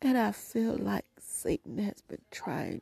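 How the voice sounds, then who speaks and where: Whispering, a woman speaks at a very slow pace. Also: dry, close sound with no echo. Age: 50s. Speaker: prayer podcast host. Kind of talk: prayer; devotional monologue.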